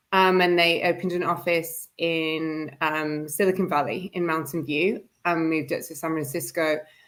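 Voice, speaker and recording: A woman's fairly low-pitched voice with a British accent, fairly even intonation, a moderate pace and hardly any pauses. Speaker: media and events managing director. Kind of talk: interview chat. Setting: live online stream.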